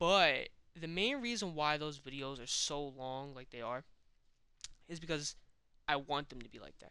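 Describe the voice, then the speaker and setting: At a moderate pace, a man with a fairly high pitch and a bright, sharp tone speaks with ordinary pitch variation, big swings in loudness, and long, frequent pauses. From Puerto Rican background. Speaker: gaming youtuber. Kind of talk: personal vlog monologue. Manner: casual, hesitant.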